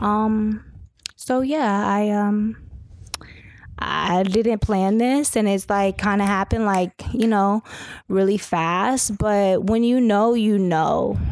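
The pace is very slow, with very even loudness. Intonation stays fairly even. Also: woman, medium pitch for a woman. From Southern California. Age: 20s. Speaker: model and entrepreneur. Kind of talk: casual interview. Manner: calm.

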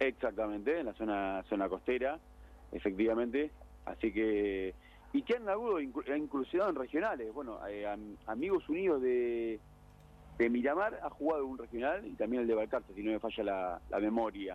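An unremarkable speaking voice, with lively intonation and a moderate pace. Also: man, medium pitch for a man. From Argentina. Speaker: radio segment reporter on sports clubs. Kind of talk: casual radio chat.

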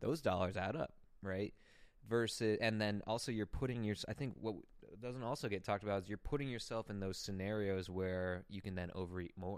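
Fairly quick in pace, a man speaks in a fairly low pitch with ordinary pitch variation. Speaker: podcast host and online coach. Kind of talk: casual chat. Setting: home studio. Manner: animated.

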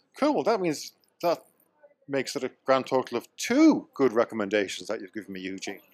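A man with an Irish accent, medium pitch, lively intonation, big swings in loudness and a fairly quick pace. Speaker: returning guest, expat. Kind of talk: casual banter.

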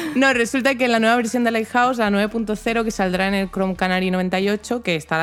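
Over music in the background, a woman speaks with ordinary pitch variation. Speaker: tech podcast co-host. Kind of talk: casual chat.

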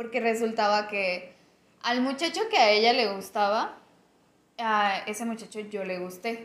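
Over audible room echo, a woman with a fairly high pitch and ordinary pitch variation talks at a fairly slow pace. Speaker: podcast co-host. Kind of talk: casual chat.

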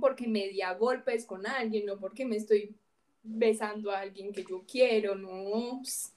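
A woman's normal speaking voice, fairly high in pitch, at a moderate pace with big swings in loudness. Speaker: podcast host. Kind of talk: casual chat.

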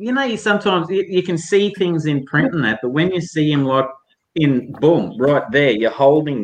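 Speaking in a strong Queensland accent, a man uses a fairly high pitch. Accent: broad Australian, rural Queensland drawl. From North Queensland, Australia. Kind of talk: casual chat.

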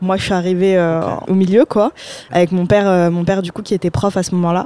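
A woman's medium-pitched voice, dark and mellow in tone, flat and monotone in intonation, at a fairly quick pace. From Paris suburbs, Seine-Saint-Denis. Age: 20s. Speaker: student, blogger and podcaster. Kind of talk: casual interview chat.

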